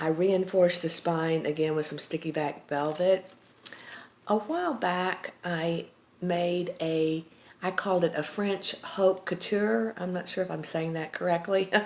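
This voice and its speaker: A woman with a Texas accent at a fairly slow pace, over noticeable background noise. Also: fairly low pitch for a woman, fairly even intonation. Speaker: craft seller, journal maker. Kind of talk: product show-and-tell tutorial. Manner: casual, with many fillers.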